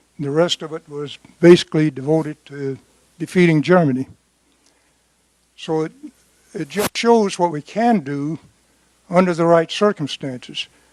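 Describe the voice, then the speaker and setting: A man with an American accent and high pitch, at a moderate pace with long, frequent pauses and big swings in loudness, the sound dry and close with no echo. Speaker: war veteran. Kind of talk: question at a town hall.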